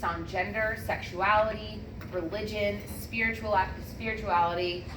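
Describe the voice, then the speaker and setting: Through audible room echo, the speaker goes at a fairly slow pace with monotone, flat intonation. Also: woman. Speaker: student presenter in athletic training class. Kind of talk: classroom presentation. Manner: loud.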